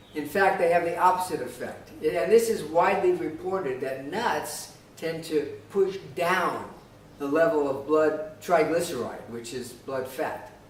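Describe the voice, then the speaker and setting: At a fairly slow pace, a man speaks with fairly high pitch and ordinary pitch variation, amid noticeable background noise and audible room echo. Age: 60s. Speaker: health commentator. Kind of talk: monologue response video. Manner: halting, many fillers.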